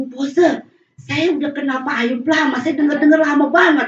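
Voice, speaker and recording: Her pitch is high for a woman. She talks at a fairly quick pace. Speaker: guest preacher. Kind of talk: sermon. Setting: church. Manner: animated; fast.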